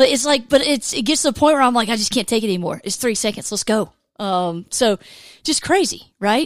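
With a Southern US accent and a fairly high pitch, a woman speaks in an animated tone at a fairly quick pace, her intonation lively on a very clean recording with a silent background. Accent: Southern American. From US South, Georgia. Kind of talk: casual devotional monologue.

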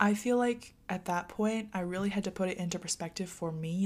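On a very clean recording with a silent background, a woman with a plain, everyday voice speaks at a moderate pace, at medium pitch with fairly even intonation. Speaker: college student vlogger. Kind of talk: casual advice monologue to viewers. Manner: chatty with frequent fillers.

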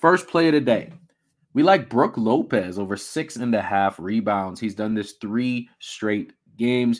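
A man speaks at medium pitch, fairly slowly and with lively intonation, in an ordinary speaking voice. The recording is very clean, with a silent background. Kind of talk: casual sports-betting picks rundown, conversational monologue. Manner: relaxed, chatty, upbeat, with fillers and laughs; easy, stream-of-consciousness, sign-off pep.

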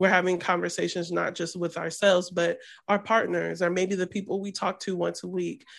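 Vocal fry runs through a woman's fairly low-pitched voice. She speaks at a moderate pace over a quiet background. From US Midwest, Columbus, Ohio. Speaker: storyteller and filmmaker. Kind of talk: casual interview.

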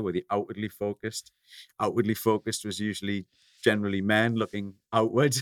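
A man with a northeast English accent speaks very fast in a fairly low voice. The recording is very clean with a silent background, and the sound is dry and close with no echo. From northeast England. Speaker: coffee company founder. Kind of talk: interview.

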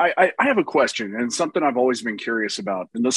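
Over a dry, close sound with no echo, a man with a Texan accent talks at a very fast pace, medium in pitch and lively in intonation. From Texas. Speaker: YouTuber. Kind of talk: casual chat.

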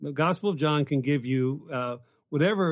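With an American accent and an unremarkable speaking voice, a man talks fairly quickly at a fairly high pitch with ordinary variation, on a very clean recording with a silent background. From West Virginia, later Pennsylvania. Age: 50s. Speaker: pastor and professor. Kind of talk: casual theological discussion.

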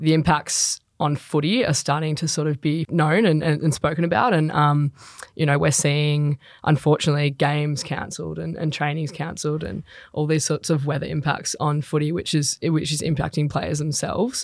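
With an Australian accent, a woman speaks at a moderate pace with fairly even intonation. Her pitch is very deep and low. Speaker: professional footballer. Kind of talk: casual chat.

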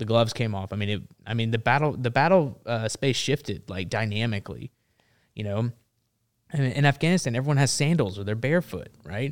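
A man with a Tennessee accent speaks at a fairly quick pace, his pitch medium and his intonation lively. The recording is very clean, with a silent background. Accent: Southern US (Tennessee). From Memphis, Tennessee. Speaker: Marine veteran and activist. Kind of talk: casual interview conversation.

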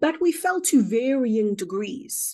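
Against a quiet background, a woman with a high pitch and a dark, mellow tone speaks with lively intonation. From South Africa. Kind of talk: interview about spiritual experiences.

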